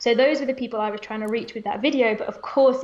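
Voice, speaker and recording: A woman with a British accent and a high pitch, ordinary pitch variation, against noticeable background noise. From England. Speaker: language teacher. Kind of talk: live interview.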